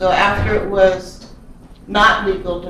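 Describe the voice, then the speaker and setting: A woman with an American accent speaks at a medium pitch. Both noticeable background noise and audible room echo are present. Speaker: Native cultural restoration worker. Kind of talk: talk to church congregation. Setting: church.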